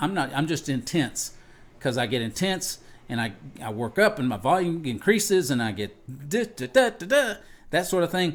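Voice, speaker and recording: A man's fairly high voice with vocal fry and very wide pitch swings, at a moderate pace on a very clean recording with a silent background. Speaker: podcast host and pastor. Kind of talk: personal monologue. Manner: intense, gets loud when worked up; halting, with many restarts.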